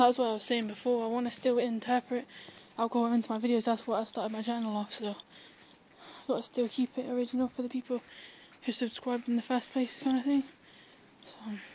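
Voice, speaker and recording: A woman talks at a fairly quick pace in a high pitch. Her intonation is monotone and flat, with light background noise behind her. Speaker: vlogger. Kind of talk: casual vlog chat. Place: garden. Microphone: phone near.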